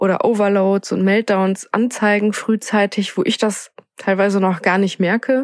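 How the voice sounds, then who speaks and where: Very slowly and in a flat monotone, a woman speaks at a medium pitch with a dry, close sound and no echo. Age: 20s. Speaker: assistance dog owner. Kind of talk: personal testimony.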